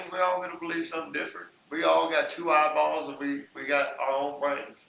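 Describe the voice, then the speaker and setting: A man with an Arkansas accent talks at a fairly quick pace over noticeable background noise. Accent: Southern US (Arkansas). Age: 40s. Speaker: hip hop dance instructor. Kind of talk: casual chat. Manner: loud.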